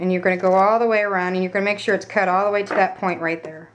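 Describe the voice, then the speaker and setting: A woman against noticeable background noise. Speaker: craft tutorial maker. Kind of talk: tutorial. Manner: hesitant, many ums.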